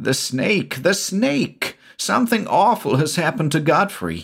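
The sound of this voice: A man performs a put-on character voice, fairly high in pitch with big pitch swings, a slightly husky edge and vocal fry. He speaks at a fairly slow pace on a very clean recording with a silent background.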